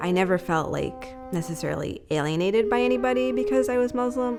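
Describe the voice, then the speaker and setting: A woman speaks in a fairly low voice with an American accent. Music plays in the background. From New Jersey. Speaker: stand-up comedian. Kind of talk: interview answer.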